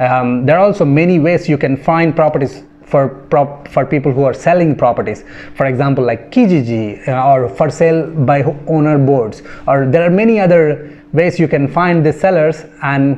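This man speaks at a fairly quick pace with ordinary pitch variation and very even loudness. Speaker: real estate agent vlogger. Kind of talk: casual explainer vlog. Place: home room. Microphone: phone near.

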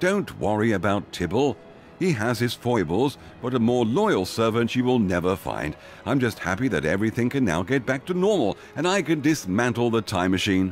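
A man puts on a gruff character voice at a medium pitch, with very wide pitch swings and very even loudness. He keeps a moderate pace over clear background noise. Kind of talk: comic period drama. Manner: gruff, earnest, stiff upper lip.

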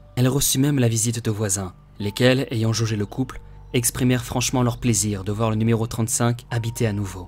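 With music playing in the background, a man talks at a moderate pace in a medium-pitched, flat monotone. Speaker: audiobook narrator. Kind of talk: audiobook reading.

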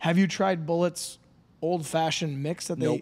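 Speaking at a fairly quick pace, a man keeps a monotone, flat intonation. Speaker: podcast host. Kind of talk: casual podcast conversation. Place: studio. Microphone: studio mic.

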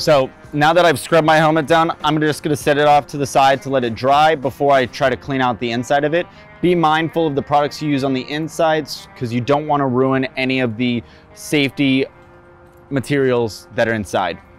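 Faint music sits behind a man who talks at a fairly quick pace with ordinary pitch variation, and his voice sounds dry with no echo. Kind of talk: tutorial.

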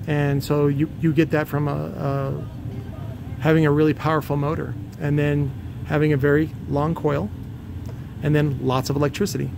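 A man with a fairly high pitch and vocal fry speaks at a moderate pace with little pitch movement over clear background noise.

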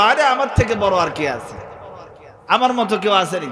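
A man with a high pitch speaks in an animated tone over noticeable background noise. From Bangladesh. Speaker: Islamic preacher. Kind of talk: sermon. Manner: animated storytelling with crowd call-and-response. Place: stage. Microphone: studio mic.

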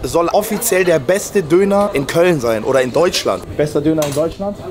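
Lively intonation from a man, in a dry sound with no echo and noticeable background noise. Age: 20s. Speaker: YouTuber doing street interviews and food reviews; YouTuber doing street interviews, food reviews. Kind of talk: street interviews and food review vlog. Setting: outdoors in city streets and döner shops. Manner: animated. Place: street. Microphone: phone near.

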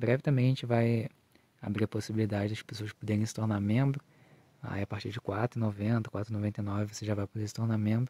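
A man speaks at a fairly low pitch and fairly quick pace. His tone is dark, mellow and somewhat breathy. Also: dry sound with no echo. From Southeast Brazil. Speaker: gardening YouTuber. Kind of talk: casual vlog, garden tour; channel outro. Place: garden. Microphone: phone near.

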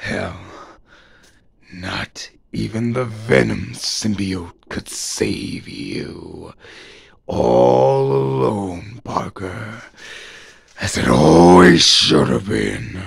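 A man puts on a raspy character voice with very deep, low pitch. He speaks at a very slow pace with long, frequent pauses. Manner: menacing, taunting.

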